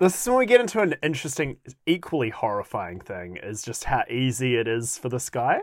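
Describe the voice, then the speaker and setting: A man's playful, fairly quick delivery in a New Zealand accent at a medium pitch, with very wide pitch swings and big swings in loudness, in a very clean recording with a silent background. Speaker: podcast host. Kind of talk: casual chat, comedic podcast banter. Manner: joking, playful.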